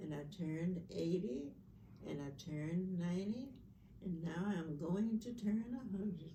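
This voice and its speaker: In an American accent, a woman speaks at a fairly slow pace and fairly low pitch with ordinary pitch variation, and audible room echo fills the space. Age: 90s. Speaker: family elder. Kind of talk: storytelling.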